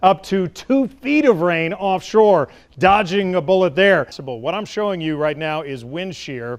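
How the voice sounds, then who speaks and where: Here a man speaks in a high pitch with an American accent. His intonation is lively and his pace fairly slow. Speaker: chief meteorologist, TV weather forecaster. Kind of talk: TV weather forecast.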